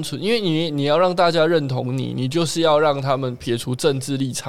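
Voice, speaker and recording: With a Taiwanese accent, a man talks at a moderate pace, his pitch fairly high with ordinary variation. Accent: Taiwanese Mandarin. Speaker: podcast co-host. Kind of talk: casual chat.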